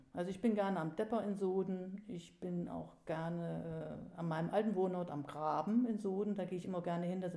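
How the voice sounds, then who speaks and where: A woman's fairly low voice, fairly even in intonation and fairly quick in pace, with audible room echo. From Germany, northern Hesse. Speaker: local history author and collector. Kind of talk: interview.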